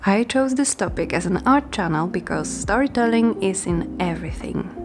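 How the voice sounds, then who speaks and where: Over noticeable background noise, a woman's voice makes very wide pitch swings. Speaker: art YouTuber. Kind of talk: casual video commentary. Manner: slow.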